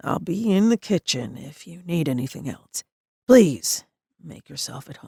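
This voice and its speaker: A raspy, put-on character voice at a middle pitch and moderate pace, full of very wide pitch swings and big swings in loudness. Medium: read story. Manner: calm, courteous.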